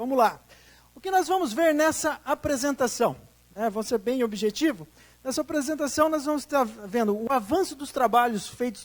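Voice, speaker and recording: Animated in tone, a man speaks at a moderate pace with lively intonation in a São Paulo interior accent. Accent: Campinas accent, noticeable to local audience. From Brazil, Campinas, interior of São Paulo. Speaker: tourism development consultant. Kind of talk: public presentation. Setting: auditorium with audience.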